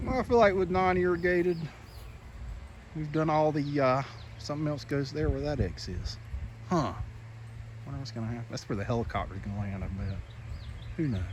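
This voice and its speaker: With a Southern US accent and a somewhat breathy voice, this speaker moves at a fairly quick pace broken by long, frequent pauses, pitch swinging very widely amid audible room echo. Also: man, fairly high pitch for a man. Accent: US South. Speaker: lawn care business owner. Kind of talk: casual vlog walkthrough. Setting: outdoors. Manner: whispering briefly.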